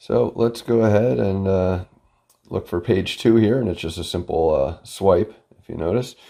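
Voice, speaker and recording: A dark, mellow tone at a moderate pace, with lively intonation and big swings in loudness. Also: man, fairly low pitch for a man. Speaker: product reviewer. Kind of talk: product review tutorial. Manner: casual, filler-heavy.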